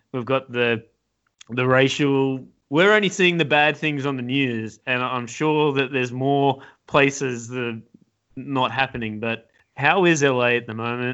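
This man speaks with an Australian accent at a moderate pace. His pitch is medium, with ordinary pitch variation. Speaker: podcast host. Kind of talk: casual chat.

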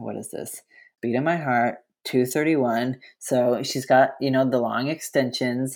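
An ordinary speaking voice with an American accent, at a moderate pace with fairly even intonation, on a very clean recording with a silent background. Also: man. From US, rural eastern Colorado. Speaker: podcast guest, fan. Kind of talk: casual chat.

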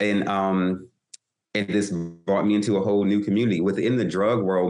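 This man has an unremarkable speaking voice with an American accent. His pitch sits fairly low and his pace is moderate. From Louisiana, US South. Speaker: author and former drug dealer. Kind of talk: interview, personal testimony.

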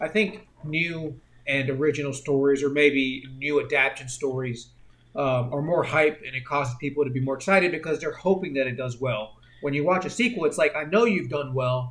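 A man with a plain, everyday voice, fairly high in pitch, talks fairly quickly with ordinary pitch variation. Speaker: podcast co-host. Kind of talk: casual chat.

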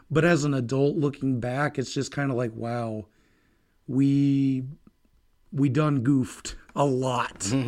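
On a very clean recording with a silent background, an unremarkable speaking voice keeps its intonation fairly even. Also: man. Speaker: podcast co-host. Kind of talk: casual chat.

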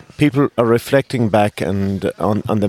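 In an Irish accent, a man talks at a fairly low pitch with a dark, mellow tone and ordinary pitch variation. The sound is dry and close, with no echo. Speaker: politician. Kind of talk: casual chat. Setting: studio.

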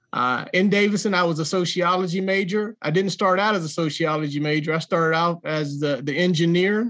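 A man speaks with a Southern US accent, high in pitch, with ordinary pitch variation. His pace is moderate and the background is quiet. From Jacksonville, North Carolina. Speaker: author and entrepreneur. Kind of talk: interview.

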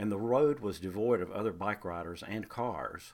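Recorded very cleanly over a silent background, a man with a North Carolina accent speaks at a fairly low pitch and moderate pace with ordinary pitch variation. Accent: Southern US (North Carolina). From US South, Greensboro, North Carolina. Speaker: storyteller. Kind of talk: scripted narration.

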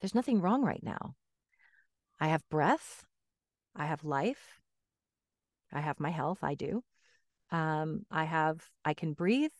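A woman with a very deep, low voice talks at a fairly slow pace with lively intonation and long, frequent pauses, recorded dry and close with no echo against a quiet background. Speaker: voice actor and medium. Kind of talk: casual interview chat.

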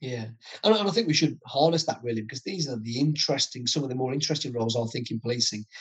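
A man speaks very fast in an East Midlands accent, his pitch medium. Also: ordinary pitch variation. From Nottingham, England. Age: 50s. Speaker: retired senior police officer. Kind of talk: interview.

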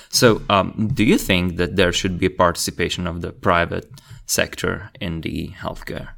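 Speaking with a Slovak accent, a man uses a very deep, low pitch, fairly even intonation and a moderate pace. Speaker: podcast host. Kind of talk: scripted narration; interview.

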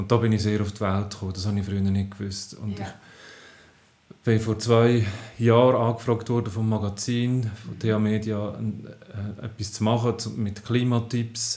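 A man's fairly low voice in a flat monotone. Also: moderate pace. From Switzerland, Aargau (Zofingen region). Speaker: science journalist. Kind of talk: casual chat. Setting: home kitchen. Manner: halting.

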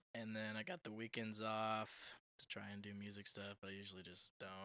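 This man has a fairly low pitch and a bright, sharp tone. He talks at a moderate pace. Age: 20s. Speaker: singer and drummer, TikTok creator. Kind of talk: casual chat. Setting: at guest's home.

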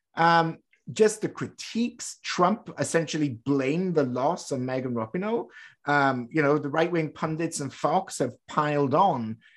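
Against a quiet background, a man speaks with a British accent at a fairly high pitch. His pace is fairly slow and his intonation lively. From Britain. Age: 30s. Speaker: podcast host. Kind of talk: casual chat; interview.

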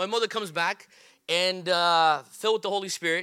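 Raising and projecting his voice, a man speaks at a high pitch in a bright, sharp tone with ordinary pitch variation. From Brazil, São Paulo. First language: Portuguese. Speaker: pastor. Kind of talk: sermon. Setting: church. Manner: halting, many fillers.

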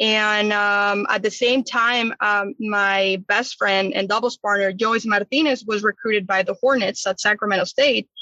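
With a Mexican accent, a woman speaks at a moderate pace with hardly any pauses, her medium pitch carried by fairly even intonation and very even loudness. Her tone is bright and sharp, and the sound is dry and close with no echo. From Chihuahua, Mexico. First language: Spanish. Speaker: college tennis coach. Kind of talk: casual interview.

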